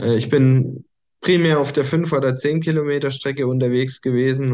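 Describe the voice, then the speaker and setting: The man's dark, mellow tone comes through at an even, middling speed. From Germany, small village. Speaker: coach and podcast host. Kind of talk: personal story monologue. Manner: hesitant, many fillers.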